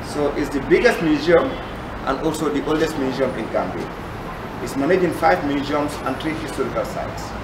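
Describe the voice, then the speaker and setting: A man keeps a fairly quick pace despite loud background noise. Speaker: museum guide. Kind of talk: guided tour explanation. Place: hall. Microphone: camera far.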